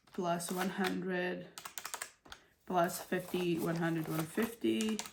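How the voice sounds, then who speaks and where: Noticeable background noise sits behind a woman's fairly low voice. She speaks very slowly. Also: ordinary pitch variation. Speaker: budgeting YouTuber. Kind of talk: casual tutorial vlog. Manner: talking a little funny.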